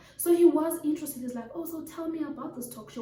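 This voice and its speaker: A woman speaks quietly against noticeable background noise, with audible room echo around her voice. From Africa. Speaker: talk show host. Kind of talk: monologue story time. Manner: quiet, calm.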